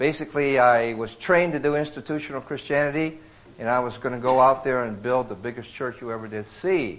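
With an American accent, a man at medium pitch and ordinary pitch variation talks at a fairly quick pace, with audible room echo and noticeable background noise. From Iowa, US Midwest. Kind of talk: sermon. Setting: men's retreat with live audience.

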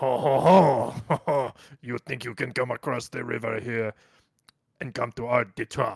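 A man puts on a character voice in a French Canadian accent, at a medium pitch. He talks at a fairly slow pace with long, frequent pauses. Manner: angry.

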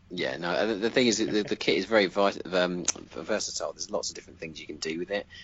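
A man with a British accent talks at a very fast pace. His fairly low pitch shows ordinary variation. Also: big swings in loudness. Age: 30s. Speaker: commission miniature painter, studio owner. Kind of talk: interview. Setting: remote call.

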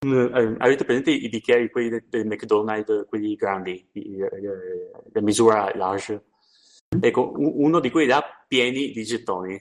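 At a fairly slow pace, a man with an unremarkable speaking voice talks at medium pitch with ordinary variation. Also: dry, close sound with no echo. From Trieste area, northeastern Italy. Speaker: podcast co-host. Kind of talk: casual chat. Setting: remote call.

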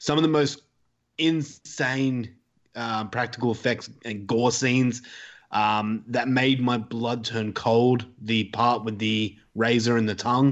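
Here a man speaks very slowly. His pitch sits at a medium level, with fairly even intonation. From Australia. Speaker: horror podcaster. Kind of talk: casual chat. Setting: remote call.

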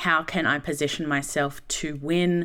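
In a very clean recording with a silent background, a woman with an Australian accent speaks at a moderate pace. Her pitch is very deep and low, her tone bright and sharp. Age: 30s. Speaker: speaker and content creator. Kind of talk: casual interview. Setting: studio.

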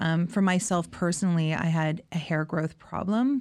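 Speaking in a Canadian accent, a woman has a plain, everyday voice, a fairly low pitch, ordinary pitch variation and a moderate pace. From Niagara region, Ontario, Canada. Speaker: salon owner. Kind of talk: interview. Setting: her hometown.

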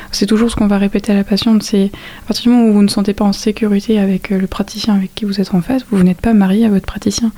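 A woman at a medium pitch in a flat monotone, talking at a very fast pace against noticeable background noise. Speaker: midwifery student, student association president. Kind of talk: interview.

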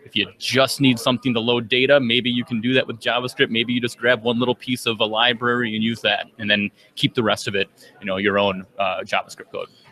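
With an American accent, a man talks at a fairly quick pace in a medium pitch and monotone, flat intonation. The sound is dry and close with no echo, though background noise is noticeable. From Minnesota. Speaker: software trainer and developer. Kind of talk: casual interview. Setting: conference floor.

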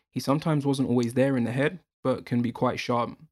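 The speech comes at a fairly quick pace with a British accent. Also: very clean recording, silent background. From UK. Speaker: podcaster. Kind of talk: casual group chat.

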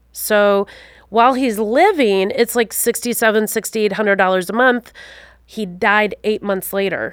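On a very clean recording with a silent background, a woman with a Wisconsin accent speaks at a fairly high pitch, a moderate pace and fairly even intonation. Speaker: financial advisor. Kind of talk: interview.

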